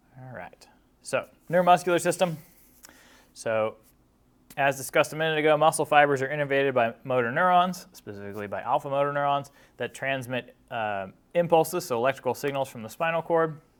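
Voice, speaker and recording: A man speaks fairly high and fairly quickly, with ordinary pitch variation and big swings in loudness. The recording is very clean, with a silent background. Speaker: college lecturer. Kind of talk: lecture. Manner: fast.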